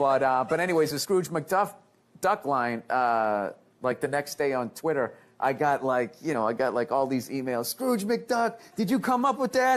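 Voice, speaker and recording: A man's fairly high voice at a moderate pace, with very wide pitch swings and very even loudness. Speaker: stand-up comedian; actor. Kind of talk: interview answer.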